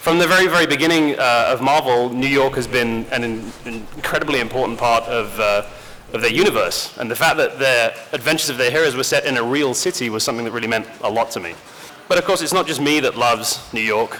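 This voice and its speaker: A man with an English accent at a very fast pace, with noticeable background noise. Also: medium pitch for a man, ordinary pitch variation. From rural England. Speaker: games industry community director, panel moderator. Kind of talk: convention panel moderation. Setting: stage with audience. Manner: casual, joking.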